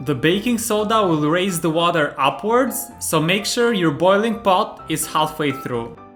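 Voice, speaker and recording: Music plays in the background as a man speaks at a fairly slow pace. His pitch is high and swings very widely. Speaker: home cook, recipe video host. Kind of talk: recipe tutorial narration.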